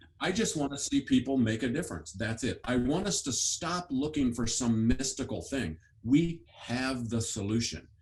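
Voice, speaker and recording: This man's voice sits at a medium pitch. It is somewhat breathy. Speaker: education author and speaker. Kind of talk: interview. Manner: fast.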